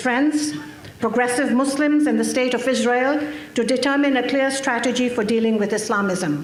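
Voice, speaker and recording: A woman with a high voice talks at a moderate pace, with audible room echo and noticeable background noise. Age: 60s. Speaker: activist speaker. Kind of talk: conference speech. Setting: stage with audience. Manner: formal.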